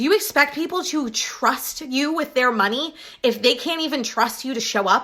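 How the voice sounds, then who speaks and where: A woman's high-pitched, raised, projected voice with an American accent, animated in tone, lively in intonation, at a moderate pace. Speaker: business coach. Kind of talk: live Q&A coaching session. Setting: live video away from home. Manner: casual, animated.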